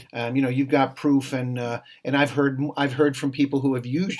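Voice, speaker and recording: With fairly even intonation, a man speaks at a fairly quick pace in a medium pitch. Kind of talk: interview. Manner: fast.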